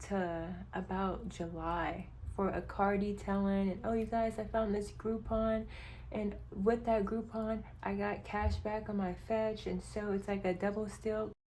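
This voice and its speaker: Talking at a fairly slow pace, a woman is heard with audible echo from the room. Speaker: budgeting vlogger. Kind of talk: casual vlog.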